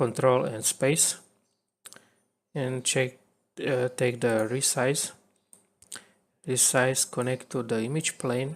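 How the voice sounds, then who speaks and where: A man's very slow, monotone, flat delivery at a medium pitch, with a non-native accent and long, frequent pauses. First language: not English. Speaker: video editing tutorial creator. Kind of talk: tutorial. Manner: halting.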